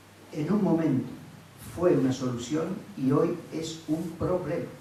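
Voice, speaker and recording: A man with a fairly high pitch and ordinary pitch variation speaks at a very slow pace, with audible room echo and noticeable background noise. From Argentina, Tandil. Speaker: filmmaker. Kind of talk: public talk. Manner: halting.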